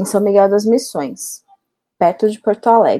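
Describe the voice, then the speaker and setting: A woman in a Goiânia accent, with a dark, mellow tone, medium pitch and a fairly slow pace. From Goiás, Brazil (Goiânia). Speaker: filmmaker and doctoral researcher. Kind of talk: podcast interview.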